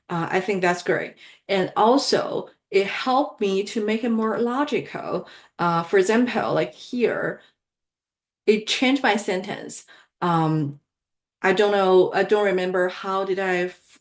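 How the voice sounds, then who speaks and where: Speaking at a fairly slow pace with a non-native accent, a woman uses a medium pitch and ordinary pitch variation over a quiet background. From outside the US. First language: not English. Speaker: career advice youtuber. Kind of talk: tutorial. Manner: halting.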